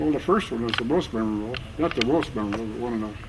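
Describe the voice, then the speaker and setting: Against noticeable background noise, a man with an American accent speaks at a very fast pace. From North Dakota, USA. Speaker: war veteran. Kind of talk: interview answer.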